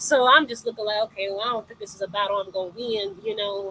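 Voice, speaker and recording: At a very fast pace, a woman speaks with a fairly high pitch. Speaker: interview guest sharing abuse story. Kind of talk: testimony.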